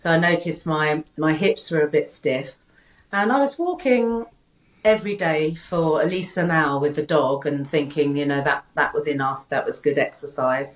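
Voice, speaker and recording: A woman's very deep, low voice with a British accent, at a moderate pace and with ordinary pitch variation. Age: 60s. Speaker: health coach. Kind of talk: casual interview chat. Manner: halting, many repeated words.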